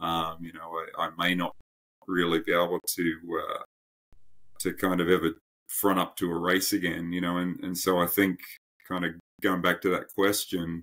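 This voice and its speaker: A man speaks with an Australian accent and a very deep, low pitch, yet his tone is bright and sharp. His delivery is monotone and flat at a moderate pace, with long, frequent pauses. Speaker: endurance coach. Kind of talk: podcast interview. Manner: halting.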